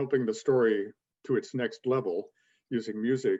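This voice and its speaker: This is a man speaking. The sound is dry and close, with no echo. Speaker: author and magazine editor. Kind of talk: podcast interview. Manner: quick.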